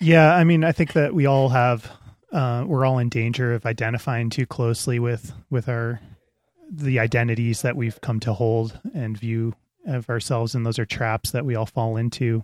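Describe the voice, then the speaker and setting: A man with an American accent speaks in a normal speaking voice at a moderate pace and medium pitch, with ordinary pitch variation and a dry, close sound with no echo. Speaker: podcast host, climber. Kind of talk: casual chat.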